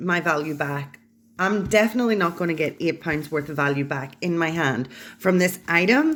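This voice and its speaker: A woman at a moderate pace, fairly low in pitch with lively intonation, on a very clean recording with a silent background. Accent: British. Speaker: unboxing YouTuber. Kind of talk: unboxing video. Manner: hesitant, many ums.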